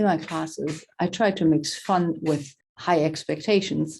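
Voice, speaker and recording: A woman with a German accent speaks at a fairly slow pace in a dark, mellow tone, her very deep, low pitch held to fairly even intonation. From Germany. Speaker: professor. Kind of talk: lecture.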